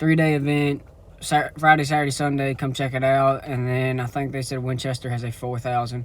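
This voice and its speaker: The speaker has an American accent and a fairly quick pace. The intonation is monotone and flat. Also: man. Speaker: racing podcast co-host. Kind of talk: recorded voice-over recap; casual chat. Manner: stutter.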